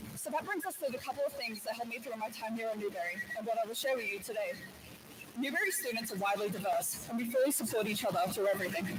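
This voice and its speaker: Spoken very fast with lively intonation in an Australian accent, this clip has audible room echo and noticeable background noise. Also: woman, fairly high pitch for a woman. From Australia, Brisbane. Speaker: student graduate speaker. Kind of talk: commencement speech. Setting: stage with audience.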